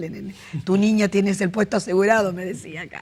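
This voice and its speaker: Speaking at a very fast pace, a woman sounds somewhat breathy. Her intonation stays fairly even. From Argentina, Rosario. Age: 60s. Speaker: interviewee sharing life story. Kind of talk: interview.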